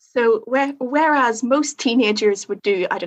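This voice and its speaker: A woman speaks with a Northern Irish accent at a moderate pace. Her pitch is fairly high, with ordinary variation. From Northern Ireland. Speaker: theology student training as chaplain. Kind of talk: podcast interview.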